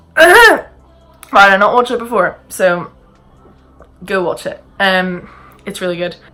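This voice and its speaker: Background music accompanies the clip. The woman's voice falls in a medium range. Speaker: YouTuber. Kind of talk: casual Q&A vlog. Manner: halting, many fillers; fast chatty.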